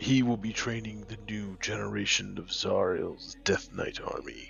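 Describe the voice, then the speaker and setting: Using a put-on character voice, a man speaks at a moderate pace. Clear music plays behind him. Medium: audio drama. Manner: cold, terse, formal.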